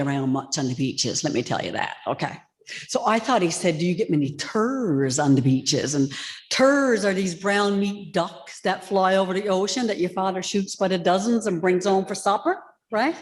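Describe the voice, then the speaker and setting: In a Newfoundland accent, a woman talks at a moderate pace and medium pitch. Her tone is animated and her intonation lively. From Newfoundland, outport (the Bay). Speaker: author. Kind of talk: storytelling in live interview. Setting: church with live audience.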